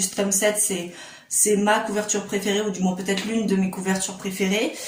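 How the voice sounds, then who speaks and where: Speaking at a fairly quick pace, a woman uses a medium pitch. Noticeable background noise and audible room echo surround her voice. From Réunion. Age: 20s. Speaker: YouTuber. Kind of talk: casual vlog talk to camera. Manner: hesitant, many fillers.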